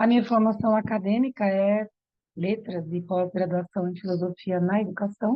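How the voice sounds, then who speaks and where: A woman talks at a moderate pace in an ordinary speaking voice. Her pitch is medium, with fairly even intonation. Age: 60s. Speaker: yoga therapist and aromatherapist. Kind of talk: online workshop presentation.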